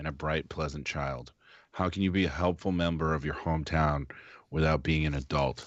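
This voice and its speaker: With fairly even intonation, a man speaks at a moderate pace in a very deep, low voice. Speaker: game master. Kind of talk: tabletop role-play session. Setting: live stream. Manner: monotone.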